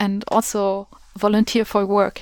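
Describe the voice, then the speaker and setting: A woman with a German accent. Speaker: podcast host. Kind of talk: interview.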